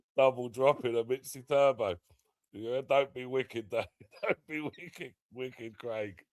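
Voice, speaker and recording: A man with an English accent, at a fairly slow pace and with fairly even intonation. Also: medium pitch for a man, dry, close sound with no echo. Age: 30s. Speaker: live streamer. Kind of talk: casual chat.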